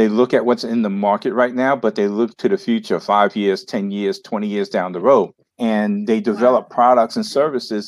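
A man with an American accent talks at a moderate pace in medium pitch, with lively intonation, against a quiet background. It is a plain, everyday voice. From New York City. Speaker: entrepreneur and marketing coach. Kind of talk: interview.

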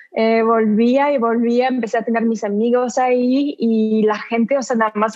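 A woman speaks with a French accent. Her pitch is high. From southern France. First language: French (speaking Spanish). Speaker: actress. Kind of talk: interview.

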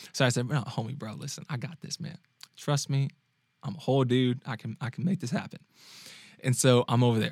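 Somewhat breathy, a man at medium pitch with ordinary pitch variation speaks at a fairly quick pace with long, frequent pauses, in a dry, close sound with no echo. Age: 20s. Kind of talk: casual personal storytelling monologue. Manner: animated, frequent laughing; halting, many fillers and repetitions.

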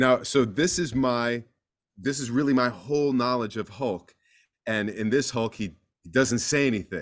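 In an American accent, a man with an unremarkable speaking voice talks at a moderate pace and medium pitch with ordinary pitch variation. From US East Coast. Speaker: voice actor. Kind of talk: interview conversation.

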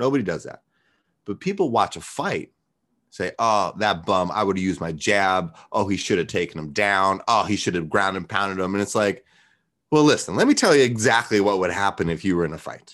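Here is a man with an unremarkable speaking voice, fairly low in pitch. He keeps a moderate pace with ordinary pitch variation. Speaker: martial arts coach. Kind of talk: casual chat.

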